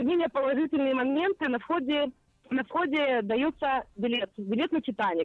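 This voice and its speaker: A woman speaks at a fairly slow pace with a high pitch. Her intonation is lively. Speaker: radio correspondent. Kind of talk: live phone report. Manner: lively, upbeat.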